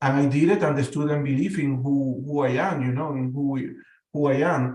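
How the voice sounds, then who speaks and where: Amid audible room echo, a man with a Spanish accent speaks at a moderate pace, his fairly high voice somewhat breathy with a dark, mellow tone. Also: fairly even intonation. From Venezuela. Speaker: panel guest. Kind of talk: casual discussion. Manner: halting, many repetitions.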